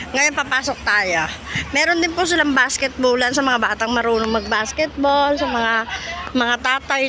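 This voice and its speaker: A woman's raised, projected voice, high in pitch, animated in tone and lively in intonation, at a fairly slow pace with noticeable background noise. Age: old. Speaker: vlogger. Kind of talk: walking tour vlog. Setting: outdoors in a park.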